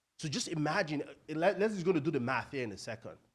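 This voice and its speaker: A man with a Nigerian accent sounds animated, his pitch fairly high and his intonation lively. The recording is very clean, with a silent background. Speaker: real estate investor and coach. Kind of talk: seminar presentation. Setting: stage with audience.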